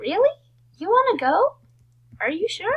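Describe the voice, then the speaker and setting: A woman's put-on character voice, extremely high in pitch with very wide pitch swings, at a moderate pace. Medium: read story. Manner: loud, enthusiastic.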